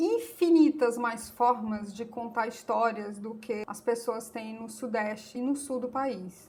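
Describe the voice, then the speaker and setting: A woman with a northeastern Brazilian accent and an animated tone, over noticeable background noise. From Brazilian Northeast. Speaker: YouTuber, political commentator. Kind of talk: opinion monologue to camera.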